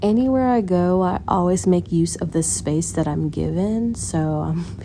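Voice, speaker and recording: A woman talks at a fairly slow pace in a very deep, low pitch. Noticeable background noise runs behind her. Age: young. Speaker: car salesperson. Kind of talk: casual vlog talk to camera.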